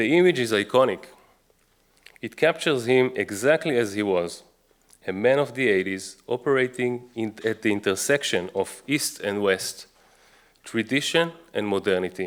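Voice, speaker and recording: With an Israeli accent, a man speaks at a moderate pace with lively intonation and long, frequent pauses. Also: medium pitch for a man. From Israel, Jerusalem. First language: Hebrew. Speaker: author and researcher. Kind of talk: book talk lecture.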